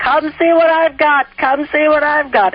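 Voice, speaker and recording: It's a loud, high-pitched, put-on character voice. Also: moderate pace. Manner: loud, blaring, proud.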